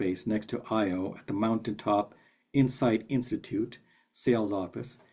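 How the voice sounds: Quiet background behind a natural reading voice with ordinary pitch variation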